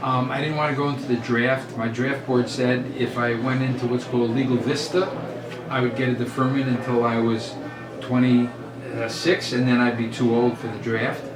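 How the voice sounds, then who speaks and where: A medium-pitched man with an American accent at a moderate pace, monotone and flat, with music in the background and audible room echo. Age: 70s. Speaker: lawyer. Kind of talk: interview.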